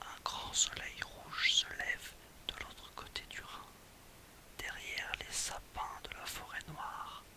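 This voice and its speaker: Against noticeable background noise, someone whispers very slowly. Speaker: ASMR reader. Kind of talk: literary short story reading. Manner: whispered.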